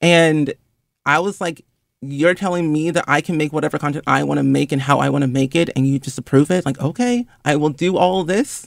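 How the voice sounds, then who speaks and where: Speaking fairly quickly in a plain, everyday voice, a man uses a fairly high pitch and ordinary pitch variation, with a dry, close sound and no echo. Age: 20s. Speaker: influencer and gaming content creator. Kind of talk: interview.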